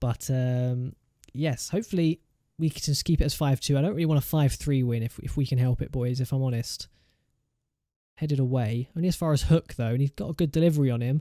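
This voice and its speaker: In a dry, close sound with no echo, a man with an English accent talks very fast in a dark, mellow tone. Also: fairly high pitch for a man, ordinary pitch variation. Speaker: gaming YouTuber. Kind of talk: gameplay commentary.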